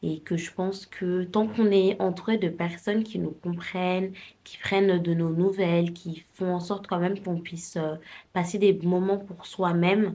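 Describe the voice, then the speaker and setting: Monotone, flat intonation comes with a dark, mellow tone in this voice. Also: woman, medium pitch for a woman, fairly slow pace. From France, Paris. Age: 20s. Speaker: lifestyle vlogger. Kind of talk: casual talk to camera. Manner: hesitant, many fillers.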